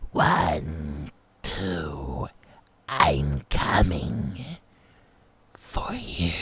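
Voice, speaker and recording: A man's raspy, very deep put-on character voice. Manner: menacing, taunting.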